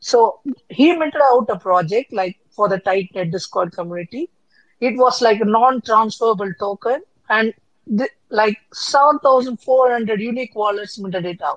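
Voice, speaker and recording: A woman with an unremarkable speaking voice talks at a moderate pace in a fairly high pitch. Her pitch varies in an ordinary way, and the sound is dry and close with no echo. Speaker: panelist. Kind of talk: casual chat.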